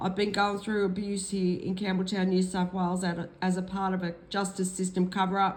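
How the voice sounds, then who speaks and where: The speaker has an Australian accent and a moderate pace. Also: woman. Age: 60s. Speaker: vlogger. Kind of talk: personal vlog testimony. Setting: at home. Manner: hesitant, with fillers.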